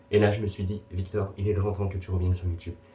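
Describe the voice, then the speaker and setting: A man's somewhat breathy, fairly low voice with a dark, mellow tone at a fairly quick pace. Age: 20s. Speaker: booktuber. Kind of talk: casual vlog.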